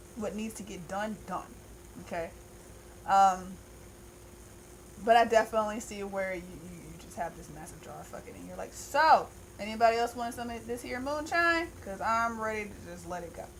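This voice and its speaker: In a room with audible echo, a woman speaks at a moderate pace, her fairly high voice animated and her intonation lively. Her loudness swings widely, and she leaves long, frequent pauses. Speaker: tarot reader. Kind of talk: monthly tarot reading. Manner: casual, animated.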